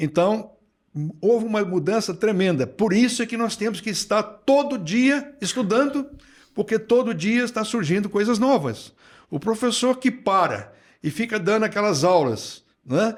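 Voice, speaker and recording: A man speaks at a high pitch and a fairly slow pace with lively intonation, in a very clean recording with a silent background. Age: 70s. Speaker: retired plant pathology professor. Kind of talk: podcast interview.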